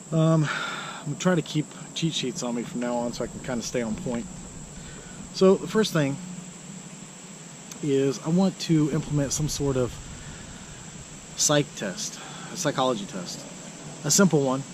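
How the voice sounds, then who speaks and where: A man with an American accent speaks at a fairly high pitch and a moderate pace, with lively intonation. He takes long, frequent pauses, and there is noticeable background noise. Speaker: self-declared presidential candidate vlogger. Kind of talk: political monologue vlog. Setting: outdoors in a park. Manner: soft-spoken; quiet, trying to speak louder. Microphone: hard to hear, too quiet.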